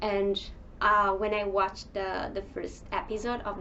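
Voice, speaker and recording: A woman talks over noticeable background noise. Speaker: book reviewer. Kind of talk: casual talk to camera.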